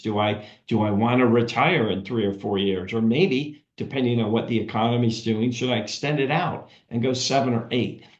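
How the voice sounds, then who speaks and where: Medium-pitched male speech at a moderate pace, ordinary in pitch variation, with room echo audible. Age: 60s. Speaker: financial advisory consultant. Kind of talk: webinar presentation. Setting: video call webinar.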